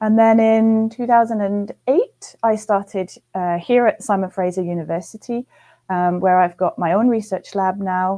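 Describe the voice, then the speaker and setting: Against a quiet background, a woman with a slight British accent speaks at a moderate pace in a medium pitch, her tone dark and mellow and her intonation fairly even. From UK. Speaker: physiology professor. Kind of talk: interview. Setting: live webcast.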